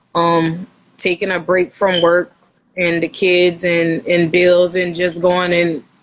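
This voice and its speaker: With a Louisiana accent, this woman speaks in a monotone, flat way at a fairly low pitch. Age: 30s. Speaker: podcast guest. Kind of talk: casual interview chat.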